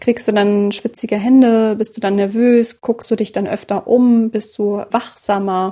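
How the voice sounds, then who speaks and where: A woman's fairly high voice, monotone and flat, at a fairly slow pace with hardly any pauses. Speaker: podcast host and journalist. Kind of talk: interview.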